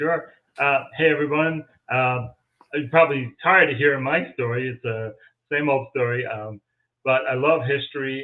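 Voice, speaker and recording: The speaker is a man at a fairly slow pace. His intonation is fairly even. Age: 60s. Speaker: paranormal investigator and local historian. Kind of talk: interview on a live stream.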